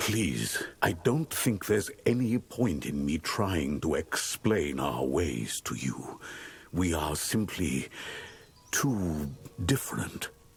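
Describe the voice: A man slowly puts on a character voice at an extremely low pitch, full of vocal fry. His pitch swings widely.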